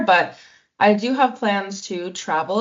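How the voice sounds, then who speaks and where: Woman at a medium pitch with a Canadian accent and lively intonation. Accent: Canadian, noticeable to others. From Canada. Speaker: exchange student. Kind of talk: casual interview.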